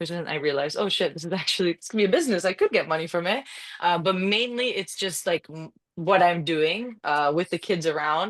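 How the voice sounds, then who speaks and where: Talking at a very fast pace, a woman uses a fairly low pitch. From Canada. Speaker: UGC content creator and coach. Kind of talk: casual interview chat. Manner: fast, rambling with false starts.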